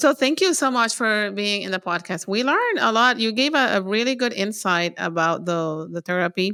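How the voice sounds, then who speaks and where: The speaker is a woman. She talks at a moderate pace with lively intonation. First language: not English. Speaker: podcast host with MS. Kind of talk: casual interview chat.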